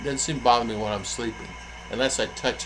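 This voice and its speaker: In an American accent, a man speaks at medium pitch amid noticeable background noise and audible room echo. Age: 60s. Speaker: vlogger. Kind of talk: casual vlog talk. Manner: halting, many fillers.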